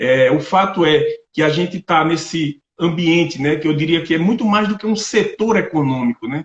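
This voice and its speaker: Man with a northeastern Brazilian accent, high in pitch, ordinary pitch variation, at a moderate pace. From Brazilian Northeast, Paraíba. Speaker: agronomist and agribusiness representative. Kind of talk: online lecture.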